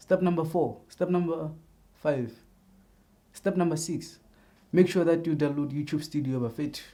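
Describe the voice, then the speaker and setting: With a South African accent, a man speaks in a dark, mellow tone at a fairly high pitch. His pace is moderate, with ordinary pitch variation. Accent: South African non-native English. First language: a South African language other than English. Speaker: YouTuber. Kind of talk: tutorial. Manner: casual, repetitive, halting.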